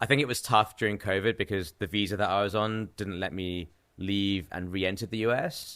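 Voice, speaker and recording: A man with a fairly low voice speaks in a fairly even tone, recorded very cleanly against a silent background. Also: fairly quick pace. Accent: English. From England. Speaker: professional trader and artist. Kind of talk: casual podcast interview.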